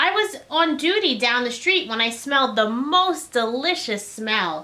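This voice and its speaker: A woman's put-on character voice, high-pitched, with very wide pitch swings, at a moderate pace. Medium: read story.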